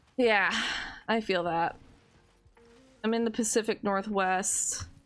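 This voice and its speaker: A woman with an American accent, medium-pitched, very slow, with fairly even intonation. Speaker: gaming streamer. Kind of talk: casual gameplay livestream chat. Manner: frequent um and like fillers.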